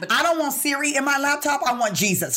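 There is noticeable background noise as a woman talks. Her tone is animated and her pace moderate. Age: 40s. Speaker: podcast co-host. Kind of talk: casual chat.

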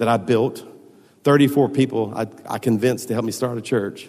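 A man with a Southern US accent speaks at medium pitch and a moderate pace. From US South, Baton Rouge, Louisiana. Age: 50s. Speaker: pastor. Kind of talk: sermon. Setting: church.

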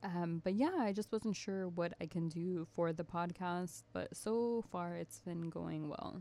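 This woman's voice has a dark, mellow tone and a fairly low pitch. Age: 20s. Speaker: podcast guest. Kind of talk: casual chat.

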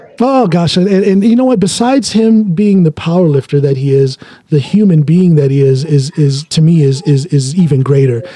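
A man with an American accent talks at a moderate pace in an unremarkable speaking voice, his fairly high pitch carried by lively intonation with hardly any pauses. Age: 50s. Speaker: podcast host, powerlifter. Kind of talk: casual interview.

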